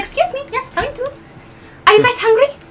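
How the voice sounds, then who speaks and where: A put-on, female-sounding character voice rattles along at a very fast pace, cheerful and squeaky at an extremely high pitch. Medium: actual play. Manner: cheerful, fussy.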